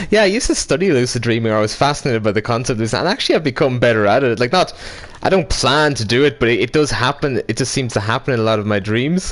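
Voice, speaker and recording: Over noticeable background noise, a man talks at a very fast pace with medium pitch and lively intonation. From Ireland, County Monaghan. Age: 20s. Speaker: gaming streamer. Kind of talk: casual chat.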